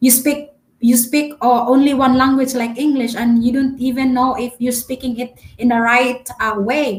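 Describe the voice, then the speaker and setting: Flat, monotone intonation in a Filipino accent. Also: woman, high pitch for a woman, moderate pace. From Philippines. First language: Filipino dialect. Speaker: travel vlogger. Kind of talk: live stream chat. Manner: halting, many fillers; talkative.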